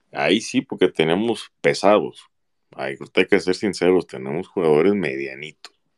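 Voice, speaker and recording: At a moderate pace, a man speaks with vocal fry in a very deep, low pitch and ordinary pitch variation. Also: dry, close sound with no echo. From Jalisco, Mexico (Autlán de la Grana). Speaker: football fan commentator. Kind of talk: casual chat.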